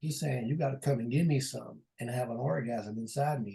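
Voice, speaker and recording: A man speaks at a medium pitch and moderate pace. His voice is somewhat breathy, with ordinary pitch variation. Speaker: preacher. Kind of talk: sermon. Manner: halting.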